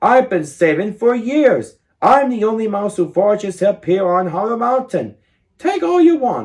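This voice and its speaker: A put-on character voice at a fairly high pitch. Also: moderate pace. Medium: read story.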